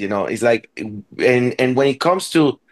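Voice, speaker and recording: Dry and close with no echo, the recording has a man at medium pitch speaking with a Spanish accent and lively intonation. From Venezuela. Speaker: orchestra conductor. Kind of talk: interview. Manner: halting, many repetitions.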